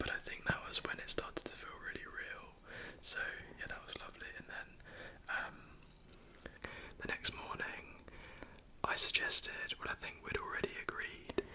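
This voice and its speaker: A whispering man at a moderate pace, with long, frequent pauses over noticeable background noise. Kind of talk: ASMR chat. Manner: whispered.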